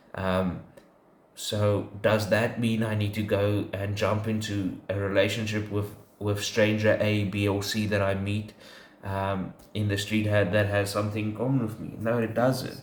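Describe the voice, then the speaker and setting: A man with a fairly low, somewhat breathy voice speaks fairly slowly in a monotone, flat way, with audible room echo. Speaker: podcast co-host. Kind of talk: casual faith discussion. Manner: halting, many fillers.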